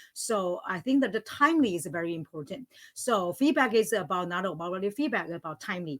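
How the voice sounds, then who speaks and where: At a fairly quick pace, a woman at medium pitch makes very wide pitch swings, the sound dry and close with no echo. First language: not English; English is third language. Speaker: language teacher, panelist. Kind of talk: panel discussion. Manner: halting, many fillers.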